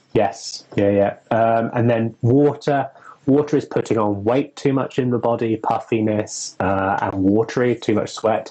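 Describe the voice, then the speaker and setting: Fairly slow, medium-pitched speech from a man, with fairly even intonation, very even loudness and noticeable background noise. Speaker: witch and occult herbalism presenter. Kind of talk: casual educational discussion. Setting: Instagram live video stream.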